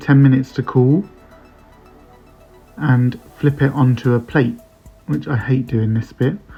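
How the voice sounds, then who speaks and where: Relaxed in tone, a man speaks at a moderate pace with a medium pitch and ordinary pitch variation while music plays in the background. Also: long, frequent pauses. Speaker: home cook. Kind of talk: recipe voice-over. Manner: casual, relaxed.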